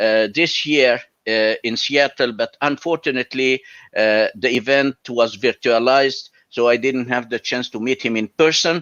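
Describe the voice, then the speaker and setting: This man speaks with an Arabic accent at a medium pitch. His pace is moderate and his pitch variation ordinary. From Egypt. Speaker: college professor and Excel instructor. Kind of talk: interview.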